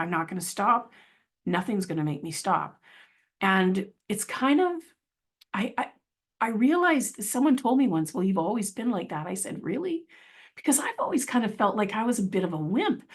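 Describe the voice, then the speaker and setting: Against a quiet background, a woman speaks at a moderate pace in a somewhat breathy, fairly high voice with very wide pitch swings and long, frequent pauses. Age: 60s. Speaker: motivational speaker and children's author. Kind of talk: inspirational talk. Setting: video call. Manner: halting.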